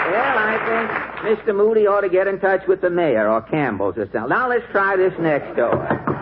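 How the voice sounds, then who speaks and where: Over music in the background, a man speaks at a high pitch and a moderate pace. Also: lively intonation. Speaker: radio comedian and show host. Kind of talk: old-time radio comedy variety show. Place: studio. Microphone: old recording.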